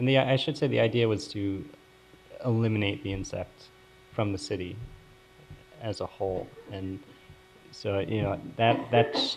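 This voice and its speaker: Speaking with an American accent, a man uses a fairly low pitch and ordinary pitch variation at a moderate pace, leaving long, frequent pauses amid audible room echo. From US Northeast, Philadelphia. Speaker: epidemiology professor. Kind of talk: lecture.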